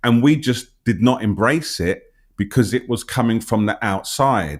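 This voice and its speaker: A man with a London accent speaks at a fairly slow pace in a very clean recording with a silent background. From London, England. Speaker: interviewer, health channel host. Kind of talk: interview conversation.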